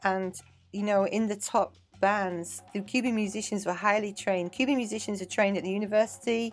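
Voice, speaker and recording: The speaker talks at a fairly quick pace with an English accent. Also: woman, medium pitch for a woman. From England (Manchester). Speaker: dance teacher and choreographer. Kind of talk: casual interview chat. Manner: animated.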